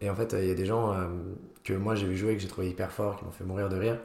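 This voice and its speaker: A man's somewhat breathy, fairly low voice stays monotone and flat, with audible room echo around it. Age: 20s. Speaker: student and comedy club founder. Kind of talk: casual interview chat.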